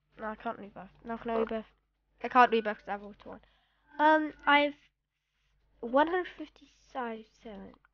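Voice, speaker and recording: A woman with a fairly high pitch speaks at a moderate pace with ordinary pitch variation and long, frequent pauses. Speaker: gaming video creator. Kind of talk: gameplay commentary. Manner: hesitant, many 'um' fillers; put-on voice tone.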